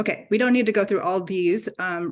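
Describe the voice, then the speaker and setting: The background stays quiet. A woman talks, her pitch varying in an ordinary way. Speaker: oncologist presenting a trial. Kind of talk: conference presentation. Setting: hybrid conference meeting. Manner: fast; hesitant with many fillers.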